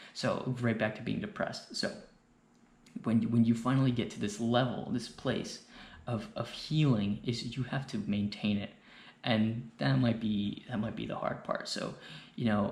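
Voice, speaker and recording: Someone whispers in a somewhat breathy way, with audible room echo. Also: man, moderate pace. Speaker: YouTuber sharing mental health advice. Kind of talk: personal monologue. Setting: indoors late at night. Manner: whispering; rambling, hesitant.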